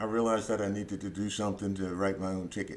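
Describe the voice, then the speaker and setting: Fairly low in pitch, a man talks at a fairly quick pace. His intonation is monotone and flat. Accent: American. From US, Philadelphia. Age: 70s. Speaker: Vietnam War veteran and lawyer. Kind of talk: interview. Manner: halting, many fillers.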